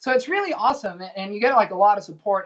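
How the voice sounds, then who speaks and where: Medium pitch from a woman, in a Spanish accent. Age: 20s. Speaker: indie pop musician and college student. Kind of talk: casual chat.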